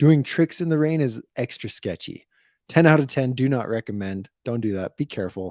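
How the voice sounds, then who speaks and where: A quiet man at medium pitch talks at a moderate pace with lively intonation. The sound is dry and close with no echo, on a very clean recording with a silent background. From New Mexico. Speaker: BMX YouTuber. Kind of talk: live stream chat. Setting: live stream. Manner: moderately quiet.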